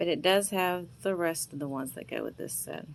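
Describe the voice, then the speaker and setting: A woman's fairly even intonation, with a Southern US accent. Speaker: vintage seller. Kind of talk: sales pitch. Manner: casual, chatty.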